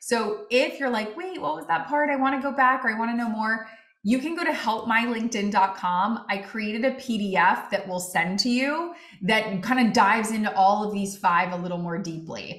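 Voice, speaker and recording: A woman talks at a moderate pace with audible room echo and noticeable background noise. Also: fairly high pitch for a woman, lively intonation. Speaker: LinkedIn expert giving a webinar. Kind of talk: webinar presentation.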